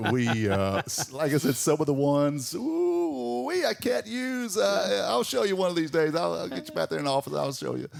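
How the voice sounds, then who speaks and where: Speaking at a moderate pace with a Southern US accent, this man barely pauses at all. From Georgia, US South. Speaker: morning radio host. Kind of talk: casual chat. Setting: studio. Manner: halting.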